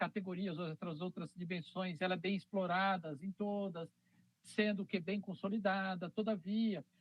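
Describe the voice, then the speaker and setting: Speaking at a fairly slow pace, a man holds a high pitch in a monotone, flat intonation. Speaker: university lecturer. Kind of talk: lecture.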